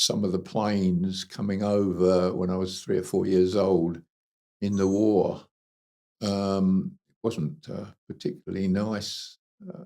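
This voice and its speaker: Speaking with a southern English accent, a man has a fairly low pitch, a dark, mellow tone and monotone, flat intonation, talking fairly slowly with big swings in loudness. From southern England, Kent. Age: 80s+. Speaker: retired engineer and animal rescue consultant. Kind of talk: life story interview.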